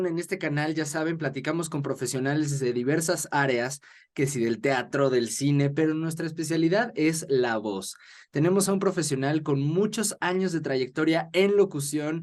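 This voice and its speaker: Using an unremarkable speaking voice, a man talks at a fairly high pitch. His pace is moderate, with ordinary pitch variation. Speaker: interviewer. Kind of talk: podcast host introduction.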